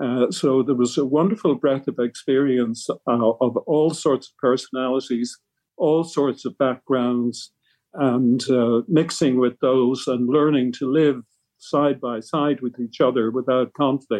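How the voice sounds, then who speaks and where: A man with an Irish accent speaks at a fairly slow pace, his medium pitch carried by fairly even intonation and big swings in loudness. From Ireland, Tipperary. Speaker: retired medical professor. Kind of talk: interview. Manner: halting.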